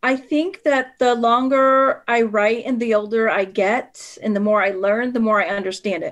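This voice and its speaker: A woman with a Spanish accent speaks at a moderate pace with hardly any pauses. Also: fairly high pitch for a woman, ordinary pitch variation. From northwestern Pennsylvania, with early years in Puerto Rico. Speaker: author. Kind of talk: interview. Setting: podcast.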